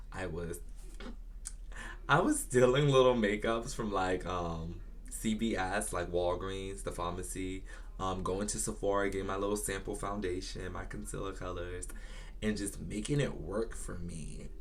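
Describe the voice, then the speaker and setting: In an American accent, a man talks at a moderate pace in an animated tone, with audible room echo around him. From Virginia, US South. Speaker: beauty YouTuber. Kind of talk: casual storytime vlog.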